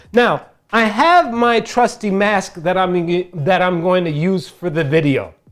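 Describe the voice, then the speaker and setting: Over music in the background, a man with a high pitch and an animated tone speaks at a fairly slow pace with ordinary pitch variation. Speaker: DIY crafts tutorial maker. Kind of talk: tutorial. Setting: wearing a face mask while talking.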